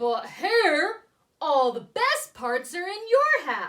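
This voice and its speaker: A woman performs a put-on character voice with growling at an extremely high pitch. She speaks at a very slow pace, with very wide pitch swings. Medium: read story. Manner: slow, grumbling.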